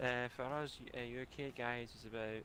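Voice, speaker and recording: This man speaks with a Glaswegian accent at a medium pitch. His tone is bright and sharp, and his intonation stays monotone and flat. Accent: Glaswegian Scottish. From Scotland, Glasgow. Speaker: gaming livestream co-host. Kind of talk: casual chat.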